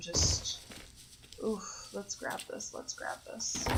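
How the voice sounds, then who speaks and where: The woman speaking is soft-spoken. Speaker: gaming streamer. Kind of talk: live game stream commentary. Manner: soft-spoken, quiet. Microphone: too quiet, laptop mic moved closer.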